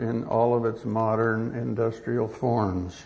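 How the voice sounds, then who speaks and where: This man takes a fairly slow pace. Background noise is noticeable throughout. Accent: American. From US West Coast, Los Angeles. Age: 70s. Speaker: retired professor of agronomy and ethics. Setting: conference hall with audience. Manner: formal, halting with fillers.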